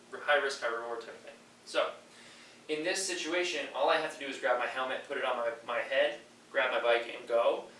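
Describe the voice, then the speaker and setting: Amid noticeable background noise and audible room echo, a man talks at a fairly quick pace with big swings in loudness. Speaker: triathlon coach. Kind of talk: tutorial. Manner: fast.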